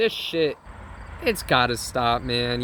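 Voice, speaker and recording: This is a man speaking. Background noise is noticeable. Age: 20s. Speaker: spiritual vlogger. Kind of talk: spiritual monologue. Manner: animated.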